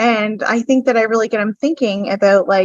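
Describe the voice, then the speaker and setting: A woman speaks with a New Brunswick accent and ordinary pitch variation. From New Brunswick, Canada. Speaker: podcast guest, business owner. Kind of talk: personal testimony. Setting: podcast.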